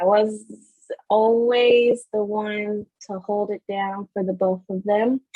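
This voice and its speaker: A woman speaks with a fairly high pitch and fairly even intonation. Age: 20s. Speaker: podcast co-host. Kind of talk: casual chat.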